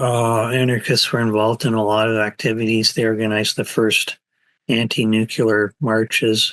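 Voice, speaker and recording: The sound is dry and close with no echo as a man of medium pitch speaks at a fairly slow pace over a quiet background. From Canada. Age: 60s. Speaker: anarchist writer and activist. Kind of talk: interview answer.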